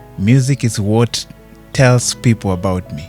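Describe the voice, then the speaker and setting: Very slowly, a man talks with a fairly low pitch and ordinary pitch variation over music in the background. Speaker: singer. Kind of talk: interview answer. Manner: soft-spoken.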